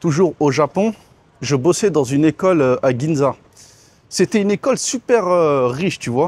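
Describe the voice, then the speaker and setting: The man's pitch sits fairly high. The sound is dry and close, with no echo. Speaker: expat vlogger. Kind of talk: casual vlog monologue. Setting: outdoors by a swimming pool. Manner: casual, hesitant with fillers.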